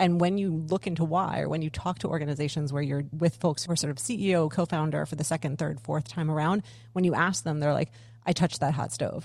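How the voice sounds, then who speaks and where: Speaking at a very fast pace, a woman with an American accent has a very deep, low pitch. Her pitch variation is ordinary, and the background is quiet. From United States. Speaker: former tech PR professional, workplace consultant. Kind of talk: podcast interview conversation. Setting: video call.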